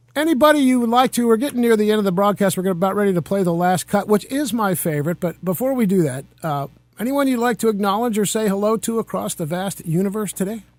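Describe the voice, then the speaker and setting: A man with a high-pitched voice talks at a very fast pace with hardly any pauses while music plays in the background. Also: lively intonation. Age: 50s. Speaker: radio show host. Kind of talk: radio interview.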